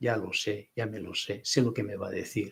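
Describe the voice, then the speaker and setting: A man's somewhat breathy voice moves along at a moderate tempo. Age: 70s. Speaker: writer and speaker. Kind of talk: panel discussion.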